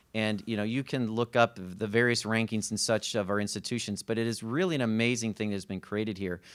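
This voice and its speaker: A man with a Chicago accent talks very fast with hardly any pauses. The recording is very clean with a silent background. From Chicago area, US Midwest. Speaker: college consortium administrator. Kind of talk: panel presentation. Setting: panel event with audience. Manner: hesitant, many fillers.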